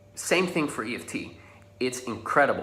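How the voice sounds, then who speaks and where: A man with a Dutch accent speaks at a fairly quick pace, with audible room echo and noticeable background noise. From Netherlands. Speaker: social confidence coach. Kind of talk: tutorial. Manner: casual.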